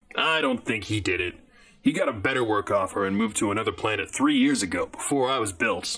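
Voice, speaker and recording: A man rattles off lines at a very fast pace in a put-on character voice with a grumpy tone. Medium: audio drama. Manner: grumpy, sardonic.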